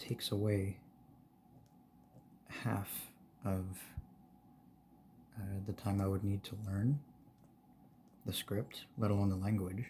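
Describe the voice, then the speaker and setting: A soft-spoken man talks very slowly, with long, frequent pauses and fairly even intonation. His tone is relaxed, dark and mellow, and somewhat breathy. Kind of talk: ASMR soft-spoken ramble. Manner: soft-spoken, relaxed.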